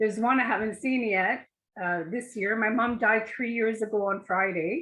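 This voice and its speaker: A woman uses a normal speaking voice, fairly high in pitch and fairly even in intonation. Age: 60s. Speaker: art course participant. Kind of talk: casual chat.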